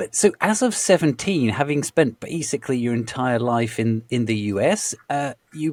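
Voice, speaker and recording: In a British accent, a man talks at a moderate pace with a medium pitch and lively intonation. The recording is very clean, with a silent background and a dry, close sound that has no echo. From Britain. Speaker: podcast host. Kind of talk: interview. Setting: podcast. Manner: stammering.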